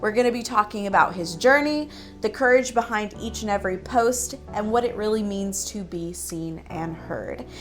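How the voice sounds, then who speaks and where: With music in the background, a woman speaks at medium pitch and a moderate pace, lively in intonation and with big swings in loudness. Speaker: podcast host. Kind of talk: podcast intro and interview questions.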